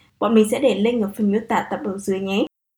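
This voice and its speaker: A woman's voice has a dark, mellow tone. She speaks at a fairly quick pace. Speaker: podcast host. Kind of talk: show intro and outro; interview about job hunting abroad.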